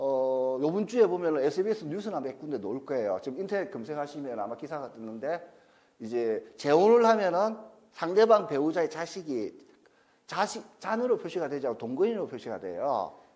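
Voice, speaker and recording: With a Gyeongsang accent, a man talks at a fairly quick pace in a fairly high voice. His pitch swings very widely. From South Gyeongsang, Masan. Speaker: divorce counselor and lecturer. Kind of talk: lecture. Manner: casual, conversational.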